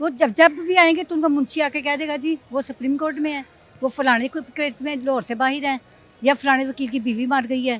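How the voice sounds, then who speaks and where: With music in the background, a woman speaks at a high pitch and a moderate pace, her intonation fairly even. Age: 60s. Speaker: property owner in legal dispute. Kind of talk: news interview.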